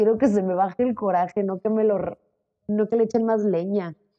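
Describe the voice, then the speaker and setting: A woman at a fairly slow pace, medium in pitch, with fairly even intonation. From Mexico, Zacatecas. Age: 20s. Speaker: model and social media creator. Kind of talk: casual interview.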